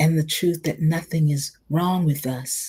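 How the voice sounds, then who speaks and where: A woman speaks in a somewhat breathy voice. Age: 70s. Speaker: community speaker and mindfulness teacher. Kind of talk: reflective talk. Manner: animated.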